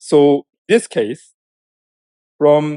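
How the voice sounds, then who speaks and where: A man's fairly high-pitched voice with a Korean accent, dark and mellow in tone, dry and close with no echo. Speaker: professor. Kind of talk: lecture. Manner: halting, with repetitions.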